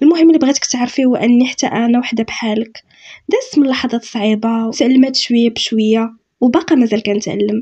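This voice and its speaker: With a Moroccan accent, a woman speaks at a fairly quick pace and fairly high pitch, with ordinary pitch variation and a dark, mellow tone. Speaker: self-help youtuber. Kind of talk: motivational talk. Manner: spontaneous, unscripted.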